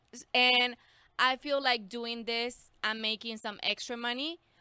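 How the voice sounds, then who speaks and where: A woman with a Mexican accent speaks fairly slowly with fairly even intonation, her tone bright and sharp, the sound dry and close with no echo. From Mexico, San Luis Potosí. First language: Spanish. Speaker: schoolteacher. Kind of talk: casual interview chat.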